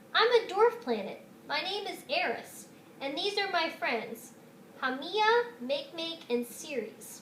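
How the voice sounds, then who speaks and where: A woman's put-on character voice at an extremely high pitch with very wide pitch swings and a fairly slow pace, over clear background noise. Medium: read story. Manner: friendly, welcoming.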